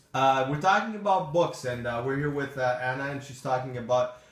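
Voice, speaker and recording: Ordinary pitch variation from a man, with audible echo in the room. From Portugal. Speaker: live streamer. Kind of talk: casual chat.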